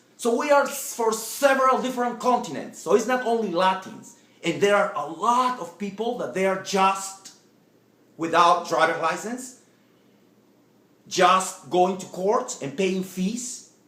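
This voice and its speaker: Fairly slow delivery over noticeable background noise. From Latin America. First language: Spanish. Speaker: political vlogger. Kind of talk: political speech to camera. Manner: halting, repetitive.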